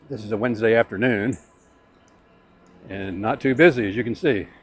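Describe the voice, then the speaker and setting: Music plays in the background as the speaker talks at a moderate pace. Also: man. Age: 60s. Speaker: e-bike vlogger. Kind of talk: casual vlog review. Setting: outdoors riding on a greenway. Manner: casual, hesitant with fillers.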